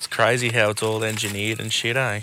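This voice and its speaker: Over noticeable background noise, a man with an Australian accent speaks fairly quickly in a flat monotone at a medium pitch. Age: 30s. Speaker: podcast co-host. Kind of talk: casual chat. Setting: outdoors.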